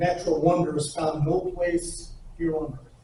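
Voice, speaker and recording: Audible room echo surrounds a man with a fairly high voice who speaks at a moderate pace. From northern Arizona, Navajo Nation. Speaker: photographer. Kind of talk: presentation to an audience. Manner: halting, many fillers.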